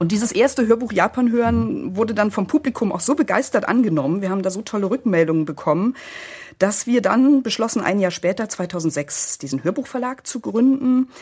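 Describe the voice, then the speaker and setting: Fairly quick, somewhat breathy speech from a woman with a fairly high pitch and lively intonation. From East Germany. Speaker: publisher and author. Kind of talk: interview.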